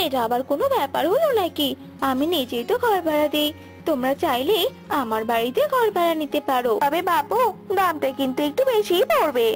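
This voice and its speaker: A woman uses a cartoonish character voice pitched high. Music plays clearly in the background. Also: moderate pace. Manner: nosy, calculating.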